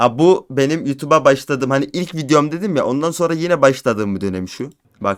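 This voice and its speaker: This man's voice sits fairly high for a man, with lively intonation. He talks at a fairly quick pace with hardly any pauses. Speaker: gaming YouTuber. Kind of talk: casual vlog monologue. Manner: animated.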